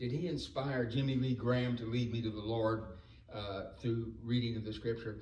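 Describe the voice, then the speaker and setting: Amid noticeable background noise and audible room echo, a man with an American accent speaks at a moderate pace in a medium pitch with fairly even intonation. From North Carolina, Salisbury. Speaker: former political campaign worker. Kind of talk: reunion speech. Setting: homecoming dinner.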